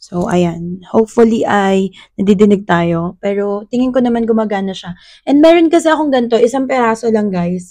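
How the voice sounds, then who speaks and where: Lively intonation marks this woman's fairly high voice at a moderate pace. Her tone is dark and mellow. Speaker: vlogger. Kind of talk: product unboxing vlog. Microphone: wireless lavalier mic being tested, slightly distorted.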